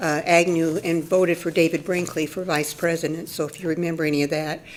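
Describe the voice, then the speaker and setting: Someone speaks very fast in an American accent with monotone, flat intonation. Noticeable background noise runs underneath. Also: woman. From Oregon / Northern California, US West Coast. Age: 70s. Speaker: public commenter at a city council meeting. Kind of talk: public comment. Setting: council chamber. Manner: halting.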